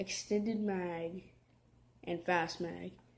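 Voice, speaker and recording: A quiet woman speaks at a very slow pace. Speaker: gaming youtuber. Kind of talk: gameplay commentary. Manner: soft-spoken; halting.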